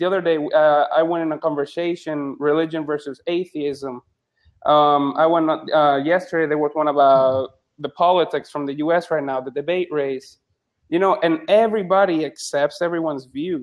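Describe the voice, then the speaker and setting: A man's fairly high-pitched voice in a Spanish accent, with fairly even intonation and a moderate pace. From Puerto Rico. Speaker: psychologist and medical student. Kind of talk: casual chat. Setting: live video chat room. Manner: halting.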